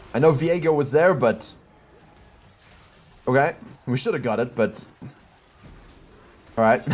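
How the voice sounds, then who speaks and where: Over noticeable background noise, a man at a medium pitch talks with ordinary pitch variation and long, frequent pauses. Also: moderate pace. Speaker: game coach. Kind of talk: coaching review of gameplay footage. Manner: thinking aloud, hesitant at times.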